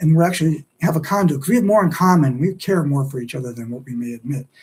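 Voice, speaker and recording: A man talks very fast in a fairly high, somewhat breathy voice. His tone is dark and mellow, with ordinary pitch variation. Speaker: livestream host and author. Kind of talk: solo livestream monologue. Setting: live stream. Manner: animated.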